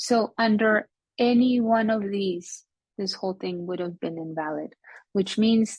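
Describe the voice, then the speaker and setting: Fairly slow, somewhat breathy speech from a woman. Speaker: logic teacher. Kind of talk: lecture.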